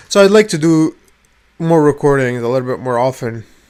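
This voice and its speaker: The pitch varies in an ordinary way as the speech moves along fairly quickly. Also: man. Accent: non-native. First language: not English. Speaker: vlogger. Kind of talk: casual rant to camera. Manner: halting, many repetitions.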